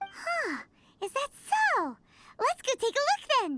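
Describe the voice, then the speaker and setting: In a put-on character voice, someone speaks at a fairly slow pace, squeaky and extremely high-pitched, with very wide pitch swings. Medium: video game. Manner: lively, casual.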